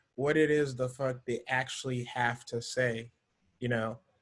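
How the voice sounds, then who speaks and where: A man is speaking. His voice is somewhat breathy. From Africa. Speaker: entrepreneur and video marketer. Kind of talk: podcast interview. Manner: casual, many fillers.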